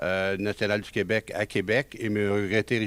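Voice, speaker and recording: A man talks on a very clean recording where the background is silent. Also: dry, close sound with no echo. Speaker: genealogy author and lecturer. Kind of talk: lecture. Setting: conference room with audience. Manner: hesitant, many filler sounds.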